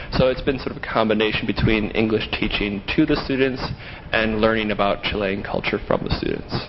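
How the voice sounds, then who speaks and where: Noticeable background noise sits behind a man with an American accent. His medium-pitched voice moves at a fairly quick pace with fairly even intonation. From United States. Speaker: English teaching assistant. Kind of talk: interview.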